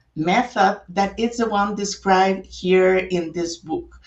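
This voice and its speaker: Speaking very slowly with a Spanish accent, a woman holds a medium pitch and varies it in an ordinary way. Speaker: author. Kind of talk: book launch talk. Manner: hesitant with fillers.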